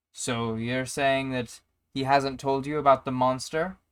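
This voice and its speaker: In a put-on character voice, a man talks at a moderate pace and a medium pitch. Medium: actual play. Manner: earnest, accusing.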